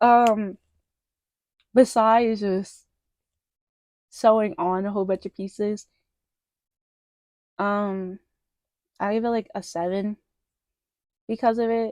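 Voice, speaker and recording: Speaking at a very slow pace with long, frequent pauses, a woman uses a fairly high pitch, ordinary pitch variation and big swings in loudness. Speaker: crochet plush maker. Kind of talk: casual pattern review. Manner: casual with many fillers.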